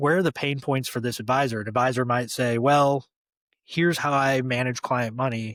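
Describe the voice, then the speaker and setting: A man with an American accent and an ordinary speaking voice, medium in pitch with fairly even intonation, in a dry, close sound with no echo and a very clean recording with a silent background. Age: 40s. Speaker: former fund wholesaler. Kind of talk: interview.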